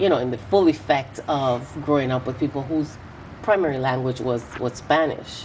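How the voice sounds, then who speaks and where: A woman with a very deep, low pitch and lively intonation at a moderate pace, amid noticeable background noise. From US Virgin Islands (St. Thomas) and Puerto Rico. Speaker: politician. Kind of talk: interview.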